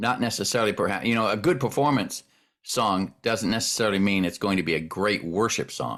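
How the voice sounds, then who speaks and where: In an ordinary speaking voice, a man talks fairly quickly at a fairly low pitch with ordinary pitch variation. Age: 60s. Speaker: worship pastor. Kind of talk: casual chat.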